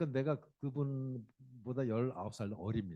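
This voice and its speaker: This man's voice sits at a medium pitch with a dark, mellow tone. It is somewhat breathy. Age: 60s. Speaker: company CEO and lecturer. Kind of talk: public lecture. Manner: conversational, addresses audience directly.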